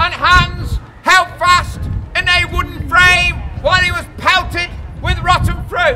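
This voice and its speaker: Noticeable background noise sits behind a man whose extremely high-pitched voice keeps a fairly even intonation. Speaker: town crier. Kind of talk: town crier performance to a tourist crowd, with quiz and banter. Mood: jovial, teasing. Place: street. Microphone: camera far.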